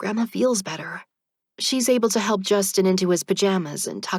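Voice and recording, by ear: A quiet background, ordinary pitch variation, and reading aloud in a natural voice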